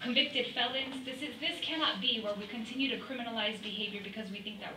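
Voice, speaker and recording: A woman at a fairly quick pace, with ordinary pitch variation and noticeable background noise. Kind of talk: public testimony. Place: meeting room.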